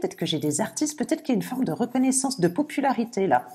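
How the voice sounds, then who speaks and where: A woman talks at a very fast clip, her pitch swinging very widely. Noticeable background noise runs underneath. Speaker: tarot reader. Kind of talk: tarot reading video. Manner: occasional stammering; animated.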